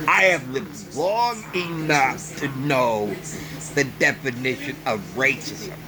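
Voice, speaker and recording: With an American accent, a man speaks at a very slow pace in a fairly high pitch, over noticeable background noise. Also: lively intonation. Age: 60s. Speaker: vlogger. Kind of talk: opinion monologue. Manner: emphatic.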